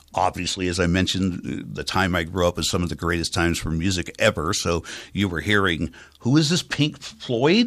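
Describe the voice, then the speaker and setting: On a very clean recording with a silent background, a man with an American accent speaks at a moderate pace in a very deep, low voice. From US West Coast, San Francisco Bay Area. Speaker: radio station manager. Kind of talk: interview. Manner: trained clear enunciation.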